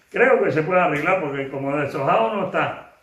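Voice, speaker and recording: A man's fairly quick speech with ordinary pitch variation and audible room echo. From Canary Islands, Fuerteventura. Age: 80s+. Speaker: elderly interviewee giving oral history. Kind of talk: oral history interview. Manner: casual, earthy.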